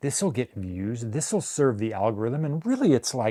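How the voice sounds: A man's dark, mellow tone with big pitch swings. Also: medium pitch for a man, fairly slow pace.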